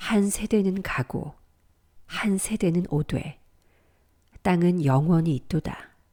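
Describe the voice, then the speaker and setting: A calm voice with a dark, mellow tone speaks at a very slow pace, with ordinary pitch variation and long, frequent pauses. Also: woman. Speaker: voice actor. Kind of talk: scripture reading. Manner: calm, slow.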